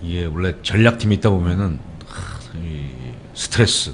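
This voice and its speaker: A man's very deep, low voice at a fairly slow pace, with ordinary pitch variation and noticeable background noise. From South Korea, Gangneung, Gangwon Province. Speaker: political campaign strategist hosting a web show. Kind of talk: casual comedic talk show chat.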